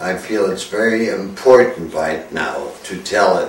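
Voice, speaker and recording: The speech comes at a very slow pace, with noticeable background noise and audible room echo. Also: man. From Germany. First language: German. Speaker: war veteran. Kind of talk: testimony. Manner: halting.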